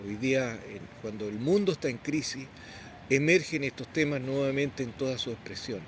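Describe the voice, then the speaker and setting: A somewhat breathy man's voice at medium pitch. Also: ordinary pitch variation, moderate pace. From southern Chile, Temuco area. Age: 60s. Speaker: Mapuche community leader. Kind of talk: interview. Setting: outdoors at a memorial.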